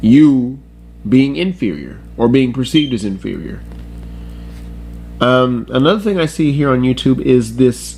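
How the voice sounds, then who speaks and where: Moderate-paced speech with music in the background. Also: man. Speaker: YouTube commentator. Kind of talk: casual commentary talk to camera.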